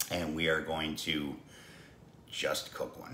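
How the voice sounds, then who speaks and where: A man talks amid light background noise, his voice carrying audible room echo. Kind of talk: casual cooking vlog intro. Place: kitchen. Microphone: phone near.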